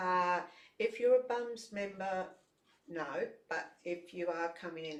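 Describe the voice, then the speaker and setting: Fairly low-pitched woman's voice in an Australian accent, fairly slow in pace, with lively intonation. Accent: Australian, noticeable. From Brisbane, Australia. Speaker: ukulele jam leader, multi-instrumentalist. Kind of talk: casual interview. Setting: studio.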